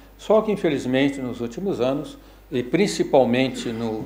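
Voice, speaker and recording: The voice carries lively intonation at a fairly slow pace. Audible room echo surrounds it. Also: man. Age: 70s. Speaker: physicist and lecturer. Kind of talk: lecture. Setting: lecture hall with audience. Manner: halting, with many fillers and restarts.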